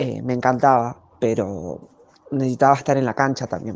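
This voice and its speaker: The woman's voice sits at a very deep, low pitch, with vocal fry. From Argentina, Greater Buenos Aires (González Catán area). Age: 20s. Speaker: professional footballer. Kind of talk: interview answers, personal testimony. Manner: halting, many fillers.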